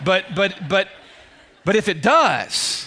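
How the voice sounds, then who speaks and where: A man's raised, projected voice sits at a high pitch. Its tone is bright and sharp. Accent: Southern US. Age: 40s. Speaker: preacher. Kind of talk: sermon. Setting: church. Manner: animated.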